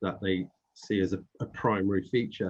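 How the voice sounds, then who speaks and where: In a British accent, a man speaks at a moderate pace with a fairly low pitch. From Britain. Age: 40s. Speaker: panel host, diversity network chair. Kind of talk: webinar panel discussion.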